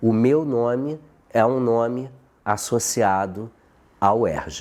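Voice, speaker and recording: A man speaks at a medium pitch with ordinary pitch variation. His pace is very slow. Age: 60s. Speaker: professor. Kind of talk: interview.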